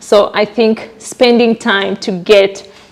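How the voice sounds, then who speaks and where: Over noticeable background noise, a woman talks in a monotone, flat intonation. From Kenya. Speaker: community organizer and nurse. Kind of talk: information session presentation. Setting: live event with audience and mic. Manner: halting, many fillers.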